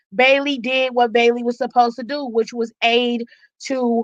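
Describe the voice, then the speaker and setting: A woman speaks in a raised, projected voice, high-pitched, bright and sharp. Her tone is animated, and the sound is dry and close with no echo. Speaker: wrestling commentary streamer. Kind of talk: live aftershow commentary. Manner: loud. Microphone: mic very close, may clip.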